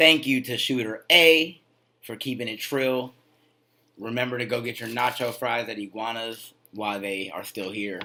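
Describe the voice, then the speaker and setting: Speaking with an American accent, a man with a medium-pitched voice uses an animated tone, ordinary pitch variation and a moderate pace. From San Jose, California. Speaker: podcast host. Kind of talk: casual chat.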